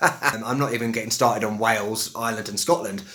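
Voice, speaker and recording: A man with a London accent at a fairly quick pace, over noticeable background noise. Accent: West London, Estuary English. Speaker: English teacher. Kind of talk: casual talk to camera.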